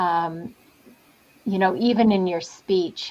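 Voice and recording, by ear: At a slow pace, a woman speaks in a fairly low pitch with a slightly mellow tone and ordinary pitch variation.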